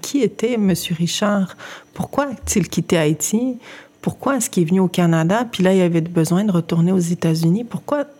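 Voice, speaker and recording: This is a normal speaking voice with lively intonation at a moderate pace. Its loudness stays very even throughout. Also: woman, medium pitch for a woman. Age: 30s. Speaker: journalist and editor. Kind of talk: interview conversation.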